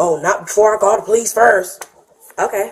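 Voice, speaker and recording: A woman speaks at a moderate pace over light background noise. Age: 20s. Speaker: arrested suspect in domestic dispute; woman reporting an assault to police. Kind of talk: police bodycam questioning. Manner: agitated. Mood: upset, indignant. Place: home room. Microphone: camera far.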